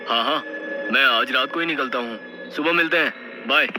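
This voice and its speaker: A man's put-on character voice, rumbling yet fairly high in pitch, at a fairly quick pace over clear background noise. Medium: read story. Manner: grumbling.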